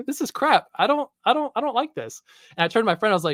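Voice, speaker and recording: A man's pitch swings very widely as he speaks. The sound is dry and close, with no echo. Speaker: YouTube movie channel creator. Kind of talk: casual chat. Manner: fast.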